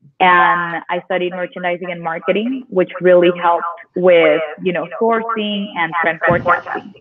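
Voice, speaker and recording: A woman's fairly even intonation comes through noticeable background noise. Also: moderate pace. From Mexico (Tijuana); Mexico. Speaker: online boutique owner; guest. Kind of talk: interview. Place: office. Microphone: video call.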